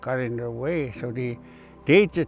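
Faint music plays in the background as the speech moves at a moderate pace with ordinary pitch variation, in a dry sound with no echo. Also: man. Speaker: heritage guide. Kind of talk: interview answer. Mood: calm, reflective, somewhat sad. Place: open country. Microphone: lapel.

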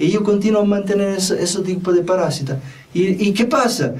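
A man with an Italian accent, high pitch and moderate pace. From Italy. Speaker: spiritual teacher and self-help video host. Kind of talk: monologue talk to camera, self-help advice. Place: studio. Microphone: lapel.

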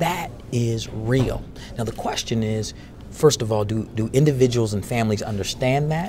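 A man talks at a moderate pace with ordinary pitch variation. Noticeable background noise runs behind him. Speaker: interviewee, actor. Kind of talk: interview answer. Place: hall. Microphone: lapel.

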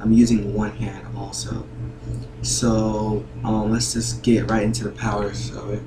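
Over noticeable background noise, a man with a fairly low pitch uses lively intonation at a fairly slow pace. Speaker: gaming video creator. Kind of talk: gameplay tutorial commentary. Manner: hesitant, many filler words.

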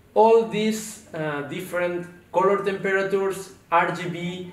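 A man speaks at a very slow pace in a high pitch. An audible echo fills the room. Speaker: presenter. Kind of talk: product presentation. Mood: calm, explanatory. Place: studio.

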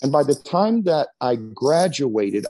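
A man's dark, mellow voice with an American accent and very wide pitch swings, against a quiet background. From Texas. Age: 50s. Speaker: pastor. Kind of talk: interview. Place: church. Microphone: earbuds.

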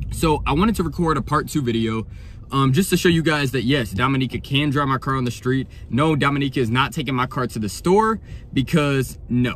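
Talking at a fairly quick pace with ordinary pitch variation, a man is recorded with a dry sound with no echo and light background noise behind him. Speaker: vlogger. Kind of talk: casual vlog chat. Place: car. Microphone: phone near.

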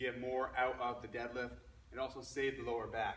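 The voice moves at a fairly quick pace. Audible room echo and light background noise are present. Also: man. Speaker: fitness coach. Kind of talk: tutorial. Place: gym. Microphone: camera far.

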